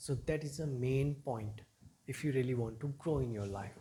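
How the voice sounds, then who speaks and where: Somewhat breathy and dark, mellow in tone, a man speaks at medium pitch and a moderate pace with ordinary pitch variation. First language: not English. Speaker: English teacher. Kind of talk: motivational talk to camera.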